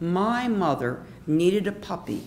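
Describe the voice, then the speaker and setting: A woman with an American accent speaks at a fairly low pitch with very wide pitch swings, amid audible room echo and noticeable background noise. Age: 60s. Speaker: storyteller. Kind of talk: personal storytelling performance. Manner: animated.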